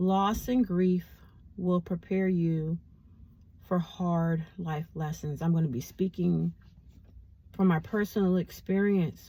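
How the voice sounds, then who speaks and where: A woman talks very slowly, with long, frequent pauses and fairly even intonation. Her fairly low voice is dark, mellow and somewhat breathy. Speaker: vlogger. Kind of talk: casual vlog monologue.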